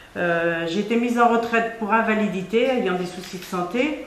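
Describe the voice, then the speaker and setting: A woman talks at a moderate pace with fairly even intonation. The room has audible echo, and background noise is noticeable. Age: 60s. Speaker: retired trade unionist. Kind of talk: testimony.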